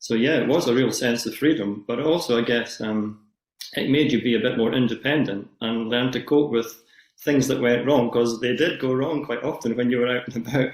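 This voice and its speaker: Delivered in a Scottish accent, the speech runs at a fairly quick pace with fairly even intonation. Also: man, medium pitch for a man. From Scotland, Edinburgh area. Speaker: society chair, yoga teacher. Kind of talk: podcast interview. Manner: hesitant with many fillers.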